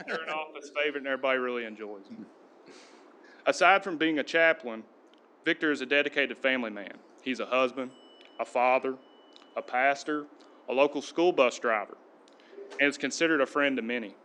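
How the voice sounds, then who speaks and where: In a bright, sharp tone, a man speaks at a very fast pace and fairly high pitch, with ordinary pitch variation, long, frequent pauses and big swings in loudness. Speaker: police sergeant. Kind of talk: prepared speech.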